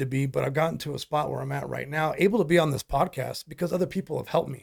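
A man with a fairly high pitch talks very fast. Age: 40s. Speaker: real estate investor. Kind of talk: casual interview. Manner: energetic.

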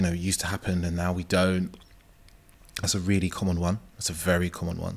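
A man's very deep, low voice, very fast and monotone with flat intonation. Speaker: men's dating coach. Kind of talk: casual interview chat.

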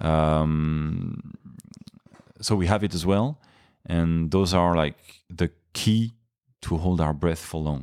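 In a French accent, a man with a very deep, low voice speaks at a very slow pace with long, frequent pauses and fairly even intonation, in a very clean recording over a silent background. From France (Paris). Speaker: freediver. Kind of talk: interview. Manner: hesitant, many fillers.

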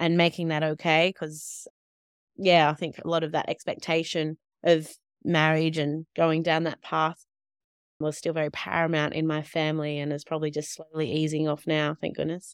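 A woman with an Australian accent speaks at a moderate pace with a very deep, low pitch and monotone, flat intonation. The recording is very clean, dry and close with a silent background and no echo. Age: 30s. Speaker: nurse and midwife, author. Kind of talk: interview conversation.

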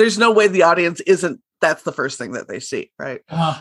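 A woman with an ordinary speaking voice, fairly low-pitched, talking at a fairly quick pace with lively intonation. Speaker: podcast host. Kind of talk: casual interview.

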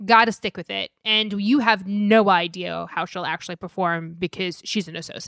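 In a normal speaking voice at medium pitch, a woman talks at a moderate pace with hardly any pauses, fairly even intonation and big swings in loudness, the sound dry and close with no echo. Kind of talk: casual banter about legal news. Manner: teasing, dry humor.

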